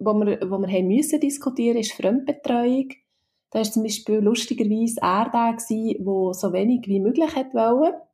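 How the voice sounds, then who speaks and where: The voice has a dark, mellow tone and a Swiss accent. It moves at a fairly slow pace with very even loudness. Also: woman. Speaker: HR consultant and mother. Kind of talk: interview. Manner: hesitant, many fillers.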